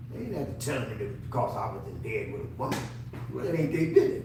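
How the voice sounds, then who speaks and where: With an American accent, a man swings his pitch very widely, heard with audible room echo and noticeable background noise. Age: 70s. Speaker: navy veteran. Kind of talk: interview. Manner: halting.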